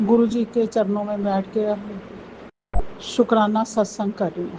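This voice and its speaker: Delivery is very slow, in a flat monotone. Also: woman. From Punjab. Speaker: devotee sharing testimony. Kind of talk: devotional testimony. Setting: at home before altar, night.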